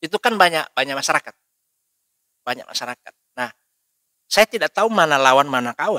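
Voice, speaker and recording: At a fairly quick pace yet with long, frequent pauses, a man speaks in a bright, sharp tone at a fairly high pitch, his voice making very wide pitch swings in a dry, close sound with no echo. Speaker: lawyer. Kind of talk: interview. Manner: firm, forceful.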